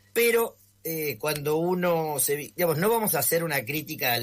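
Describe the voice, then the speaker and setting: Somewhat breathy, a man speaks at a moderate pace. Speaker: media analyst. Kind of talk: radio column. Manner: casual conversational.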